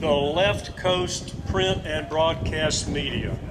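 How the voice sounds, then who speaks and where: With an American accent, a man speaks at a very slow pace. The recording has audible room echo and noticeable background noise. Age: 60s. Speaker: politician. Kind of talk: political rally speech. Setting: outdoor stage with crowd.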